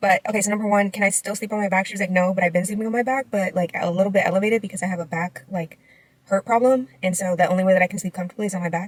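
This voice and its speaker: A woman with an American accent talks at a very fast pace and a medium pitch. Her voice is somewhat breathy, with fairly even intonation. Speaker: vlogger. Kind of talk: vlog. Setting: doctor's office. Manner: casual, filler-heavy.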